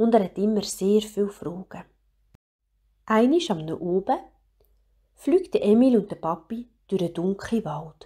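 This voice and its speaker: A woman speaks at a fairly slow pace in a Swiss German accent, her medium-pitched voice dark and mellow in tone, with lively intonation. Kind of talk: children's story reading.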